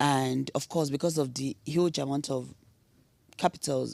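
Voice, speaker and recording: The sound is dry and close, with no echo. A woman talks at a fairly slow pace. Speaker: oil and gas industry executive. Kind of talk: panel discussion.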